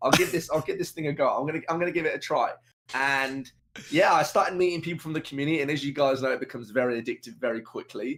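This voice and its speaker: This man talks at a very fast pace with a British accent. His pitch is fairly high. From UK. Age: 20s. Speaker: video game streamer. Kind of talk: podcast interview. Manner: energetic.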